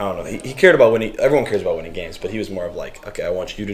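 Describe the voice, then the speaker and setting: A man with an American accent talks at a very fast pace. The recording has audible room echo and noticeable background noise. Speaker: professional soccer goalkeeper. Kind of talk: casual chat. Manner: loud.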